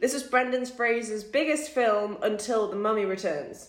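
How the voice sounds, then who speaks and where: The voice, with a Geordie accent, shows ordinary pitch variation. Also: woman. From Newcastle, northern England. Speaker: film studies student. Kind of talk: casual chat.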